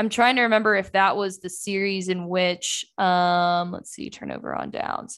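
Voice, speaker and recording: A woman talks at a medium pitch in a plain, everyday voice, with ordinary pitch variation. She keeps a moderate pace with hardly any pauses. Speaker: sports beat writer and podcast host. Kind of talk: casual sports podcast chat.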